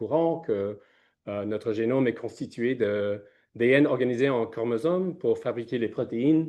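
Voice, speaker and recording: With a non-native accent, a man talks at a moderate pace in a medium pitch with ordinary pitch variation. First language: not French (speaking French). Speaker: scientist, researcher. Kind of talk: conference presentation. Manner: halting, many hesitations.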